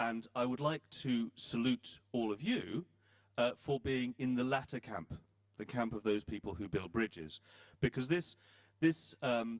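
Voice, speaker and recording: In a dry, close sound with no echo, a man with a British accent speaks at a fairly slow pace, his medium pitch showing ordinary variation. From Britain. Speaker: panel moderator. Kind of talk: panel discussion moderation. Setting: conference hall with audience. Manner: hesitant, many fillers.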